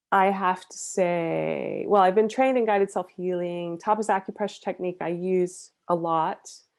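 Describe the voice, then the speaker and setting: A woman talks in an ordinary speaking voice at a medium pitch and moderate pace. The background is quiet. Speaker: EFT trainer and psychotherapist. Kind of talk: online workshop presentation. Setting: online meeting.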